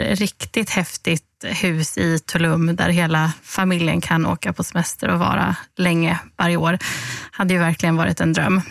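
A woman speaks in a normal speaking voice at a fairly low pitch and a moderate pace. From Halmstad, Swedish west coast. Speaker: lottery winner communicator, former journalist. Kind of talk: podcast interview. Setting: studio.

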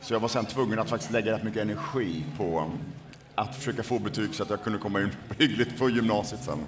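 A man talks at a very fast pace, his pitch medium. The pitch varies in an ordinary way. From Sweden, Borås. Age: 40s. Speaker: author and former party strategist. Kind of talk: interview conversation.

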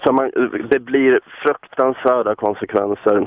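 A man speaks at a very slow pace. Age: 20s. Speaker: caller. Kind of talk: phone-in call.

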